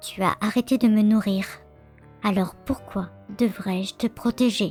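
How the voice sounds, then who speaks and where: Over music in the background, a woman puts on a shrill character voice. She speaks at a medium pitch and a moderate pace. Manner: eerie, menacing.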